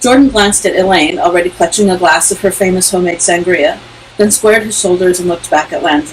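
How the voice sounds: This is a natural reading voice. The words are read aloud as written.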